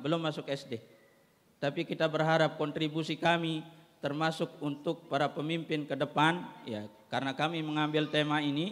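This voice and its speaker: Speaking at a moderate pace, a man uses an ordinary speaking voice, fairly high in pitch, with fairly even intonation. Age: 30s. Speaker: head of an Islamic school foundation. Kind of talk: formal ceremony speech. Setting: graduation ceremony.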